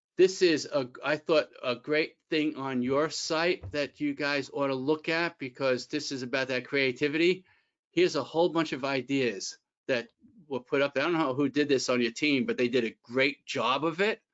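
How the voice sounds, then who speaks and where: This man has an unremarkable speaking voice, a fairly high pitch, ordinary pitch variation and a moderate pace. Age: 60s. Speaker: employment attorney. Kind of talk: webinar presentation. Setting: online webinar. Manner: conversational, with fillers and restarts.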